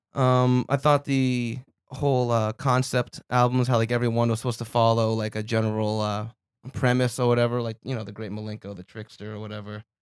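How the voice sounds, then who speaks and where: Recorded very clean with a silent background and a dry, close sound with no echo, a man talks fairly quickly at a medium pitch, flat and monotone yet with big swings in loudness. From Vermont. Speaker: comedian. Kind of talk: casual chat.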